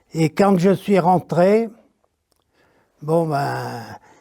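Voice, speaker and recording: Pitched high, a man speaks with a dark, mellow tone and fairly even intonation. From France, Beaujolais area. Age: 90s. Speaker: retired factory worker. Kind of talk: interview. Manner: halting.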